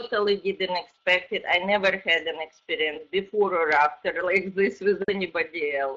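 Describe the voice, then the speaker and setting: A woman's medium-pitched voice, an unremarkable speaking voice, with fairly even intonation, a moderate pace and hardly any pauses. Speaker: audience questioner. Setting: online call.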